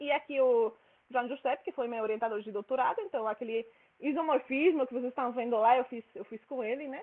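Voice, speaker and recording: A high-pitched woman talking at a fairly quick pace. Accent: Spanish. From Spain. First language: Spanish (speaking Portuguese). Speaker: mathematics researcher. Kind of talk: lecture. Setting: seminar room with audience. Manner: fast.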